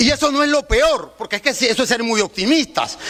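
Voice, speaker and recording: Extremely high in pitch, a man speaks in an animated tone at a fairly quick pace over noticeable background noise. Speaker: student union representative. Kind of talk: public speech on pension reform. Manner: fast.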